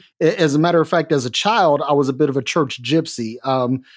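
He talks at a moderate pace in an unremarkable speaking voice. The man's pitch is fairly high, with ordinary pitch variation. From Detroit, US Midwest (teen years in Minnesota). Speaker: guest co-host. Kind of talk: casual chat.

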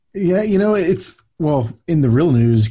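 A man's somewhat breathy voice with a dark, mellow tone and an American accent, on a very clean recording with a silent background. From Philadelphia. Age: 40s. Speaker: podcast co-host. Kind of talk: casual chat.

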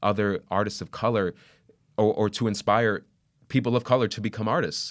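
A man speaks at a fairly quick pace with a fairly low pitch. The recording is very clean, with a silent background. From Puerto Rican family, US. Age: 20s. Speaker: stage actor. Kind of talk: interview. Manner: halting, many fillers and repeats.

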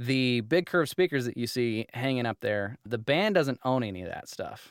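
Using a normal speaking voice, a man talks at a moderate pace with lively intonation. He speaks with an American accent. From Utah. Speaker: audio engineer and company founder. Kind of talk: interview conversation. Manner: casual, filler-heavy.

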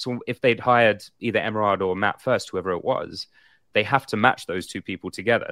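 In a very clean recording with a silent background, a man with an English accent speaks very fast at a fairly low pitch with ordinary pitch variation. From England. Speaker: actor and podcast co-host. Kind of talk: casual chat on live show. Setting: livestream with chat. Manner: animated.

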